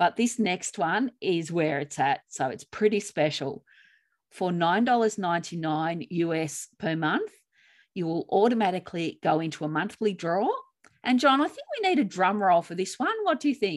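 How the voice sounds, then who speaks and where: In a very clean recording with a silent background, a woman with an Australian accent speaks at a moderate pace, her pitch medium and her intonation lively. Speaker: grief coach and podcast co-host. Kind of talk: podcast chat and reading own writing.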